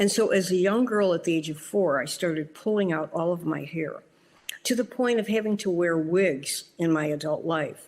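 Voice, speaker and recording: A woman with a normal speaking voice talks at a moderate pace, her pitch fairly low and its variation ordinary. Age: 60s. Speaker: doctor sharing trauma survivor story. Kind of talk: personal testimony.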